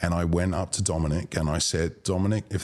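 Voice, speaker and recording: A very deep, low-pitched man with a British accent, at a very fast pace. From London, England. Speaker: arts booking agent. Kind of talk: podcast interview.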